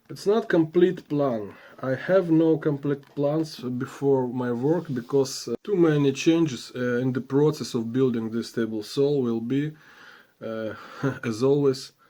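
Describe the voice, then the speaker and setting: With a non-native accent, a man speaks at a fairly slow pace in a dark, mellow tone, his medium pitch showing ordinary variation. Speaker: woodworking vlogger. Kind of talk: casual vlog. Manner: halting, with many fillers.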